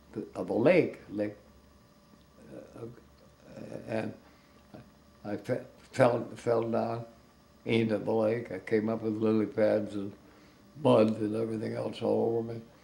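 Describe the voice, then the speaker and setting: A man with an American accent and a fairly low pitch talks slowly in a monotone, flat intonation, with long, frequent pauses. Audible room echo surrounds his voice. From United States. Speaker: retired animator. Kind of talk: interview anecdote. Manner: halting.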